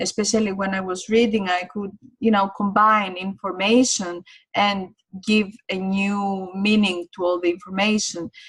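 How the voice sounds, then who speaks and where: This woman, with a non-native accent, speaks slowly-ish at a fairly slow pace, her medium pitch somewhat breathy and her intonation fairly even. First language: not English. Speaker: online course teacher. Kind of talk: online course lecture. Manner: hesitant, many fillers.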